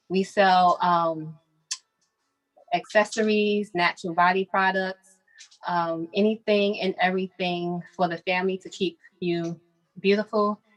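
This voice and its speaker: Over music in the background, a woman with an American accent speaks at a fairly slow pace and medium pitch in a monotone, flat intonation, with long, frequent pauses and a dry, close sound with no echo. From Brooklyn, New York. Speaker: boutique owner. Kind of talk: business presentation on video call. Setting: video call from her boutique.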